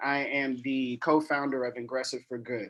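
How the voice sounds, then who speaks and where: Speaking with an American accent, a man with a fairly high pitch keeps a moderate pace. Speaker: co-founder of a tech nonprofit. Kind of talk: keynote speech at online event. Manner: hesitant, many fillers.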